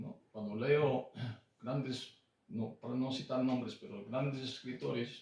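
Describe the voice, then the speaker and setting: Speaking at a fairly slow pace, a man uses medium pitch and lively intonation. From Brazil. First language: Japanese, then Portuguese (speaking Spanish). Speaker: author. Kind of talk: book presentation talk. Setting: bookshop with audience. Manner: hesitant, many fillers and repetitions.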